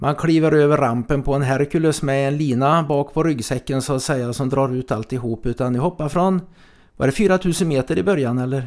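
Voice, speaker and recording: A man with a fairly high pitch and a normal speaking voice, at a moderate pace with ordinary pitch variation. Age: 60s. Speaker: podcast host. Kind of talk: casual chat. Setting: studio.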